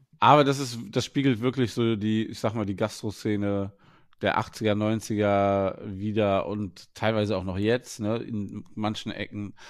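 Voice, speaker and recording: A man with an ordinary speaking voice and fairly low pitch on a very clean recording with a silent background. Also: fairly even intonation, fairly slow pace. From Germany, Wuppertal. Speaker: head chef. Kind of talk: interview.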